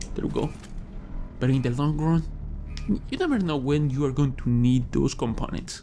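The speech moves at a moderate pace with fairly even intonation and long, frequent pauses over light background noise. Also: man, fairly high pitch for a man. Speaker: gaming YouTuber. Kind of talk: let's play commentary. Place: home room.

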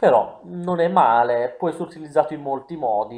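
The speaker is a man. His tone is dark and mellow. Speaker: gaming YouTuber. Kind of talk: video game commentary.

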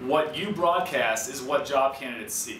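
A man's voice at a moderate pace with ordinary pitch variation, light background noise and audible room echo. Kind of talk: scripted explainer to camera. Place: studio.

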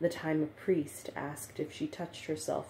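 Very deep and low for a woman, this voice is somewhat breathy. She keeps a moderate pace and fairly even intonation. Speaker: author. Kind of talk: memoir reading.

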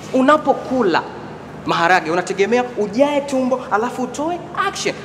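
A man's moderately paced speech comes with light background noise behind it. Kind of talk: stand-up comedy performance. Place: hall. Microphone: camera far.

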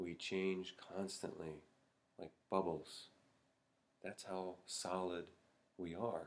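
A man speaks at a very deep, low pitch in a monotone, flat intonation. Long, frequent pauses break up his speech. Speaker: Zen meditation teacher. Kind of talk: Buddhist dharma talk to camera. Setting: Zen monastery. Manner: slow, reflective. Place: home room. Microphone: webcam.

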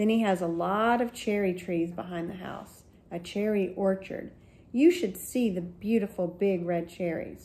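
The speaker uses a natural reading voice. Pitch varies in an ordinary way.

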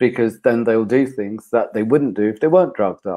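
Against a quiet background, a man with a British accent talks at a very fast pace in a dark, mellow tone with ordinary pitch variation. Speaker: men's personal development consultant. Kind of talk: interview. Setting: video call. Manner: calm. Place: home room. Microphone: video call.

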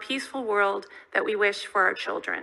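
With an American accent, the voice has a bright, sharp tone and fairly even intonation. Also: woman, quiet background. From California, US. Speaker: diplomat. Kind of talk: prepared testimony. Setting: Senate committee hearing. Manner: formal. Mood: measured, solemn. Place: hall. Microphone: podium.

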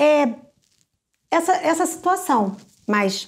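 A woman speaks at a high pitch with very wide pitch swings. The background is quiet. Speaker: children's ministry teacher. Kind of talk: teaching talk on puppet ministry. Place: home room. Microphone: phone near.

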